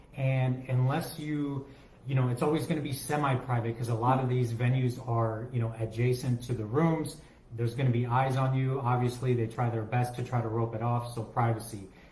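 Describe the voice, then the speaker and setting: A man talks at medium pitch and a moderate pace. There is audible room echo and noticeable background noise. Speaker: travel agent podcast co-host. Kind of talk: casual chat. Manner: mumbling; speaking louder than usual.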